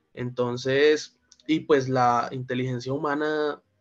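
A man's medium-pitched voice in a monotone, flat intonation. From Colombia, Valle del Cauca. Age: 20s. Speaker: lawyer and philosophy student; lawyer. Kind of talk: discussion contribution. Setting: video call. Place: home room. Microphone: video call.

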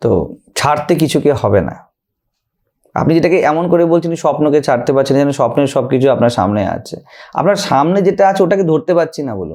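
A man with a fairly high pitch talks with lively intonation, a dark, mellow tone and vocal fry. The background is quiet. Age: 30s. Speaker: monk and spiritual teacher; spiritual teacher. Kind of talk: spiritual talk answering a question. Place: studio. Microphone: studio mic.

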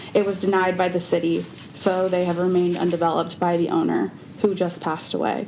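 Noticeable background noise plus audible room echo. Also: woman. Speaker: resident speaking at public comment. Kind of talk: public comment at council meeting. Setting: city council meeting.

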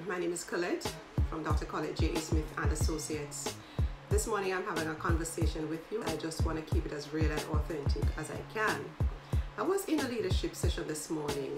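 A woman at a fairly quick pace over loud background music. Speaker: leadership coach. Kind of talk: casual vlog chat. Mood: warm, reflective. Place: home room.

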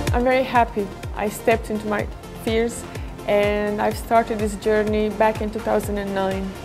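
A woman at a moderate pace, with music clearly audible behind her. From Romania. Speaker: TV and event presenter, MC, public speaker. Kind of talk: showreel voice-over talking about presenting. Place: home room.

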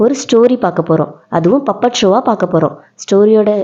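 Here an unforced reading voice reads the lines.

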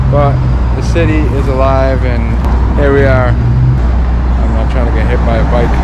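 A man speaks at a fairly slow pace. Loud background noise fills the recording. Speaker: vlogger. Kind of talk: casual vlog chat. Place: street. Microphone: phone near.

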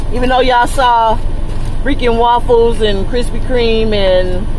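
A woman's voice, dry with no echo, amid noticeable background noise. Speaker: truck driver vlogger. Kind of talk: casual vlog chat. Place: car. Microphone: phone near.

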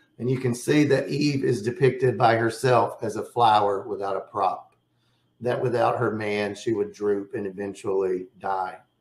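A man talks at a moderate pace with ordinary pitch variation, and audible room echo surrounds his voice. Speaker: poet and poetry publisher. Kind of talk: lecture. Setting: video webinar. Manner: enthusiastic. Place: home room. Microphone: webcam.

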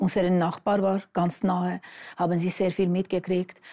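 At a moderate pace, a woman talks in monotone, flat intonation with a dark, mellow tone over a quiet background. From Armenia. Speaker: author sharing life story; interview guest. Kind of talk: testimony. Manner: halting. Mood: subdued, recounting painful past. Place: studio.

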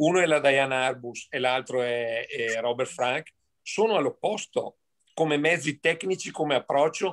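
A man talks at a fairly slow pace in a fairly high pitch with ordinary pitch variation. His is a plain, everyday voice. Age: 60s. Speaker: amateur photographer, audience member. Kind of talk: casual chat.

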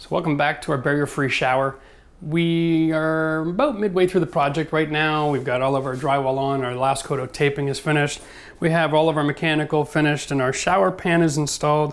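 A man's speech moves fairly quickly, its intonation fairly even. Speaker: renovation contractor. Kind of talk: tutorial. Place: bathroom. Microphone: lapel.

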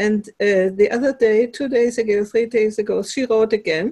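Everything around her is quiet. A woman speaks at a moderate pace. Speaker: host of an online conversation group. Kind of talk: casual personal story in a group call. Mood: excited, warm. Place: home room. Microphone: headset.

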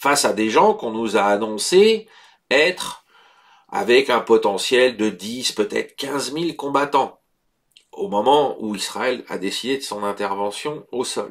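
A man of medium pitch talks at a very slow pace. His pitch swings very widely. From France. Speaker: geopolitical news commentator. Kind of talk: news bulletin commentary. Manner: halting with frequent hesitations.

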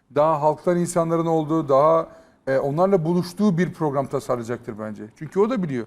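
At a fairly quick pace, a man talks in a plain, everyday voice, fairly high-pitched, with ordinary pitch variation. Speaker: YouTube content creator. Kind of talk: casual chat.

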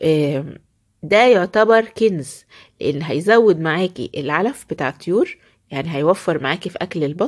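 Lively intonation marks this moderately paced speech in an Egyptian accent, set against a quiet background. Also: woman. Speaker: poultry-keeping video creator. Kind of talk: home tutorial. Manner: animated. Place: farm. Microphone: phone near.

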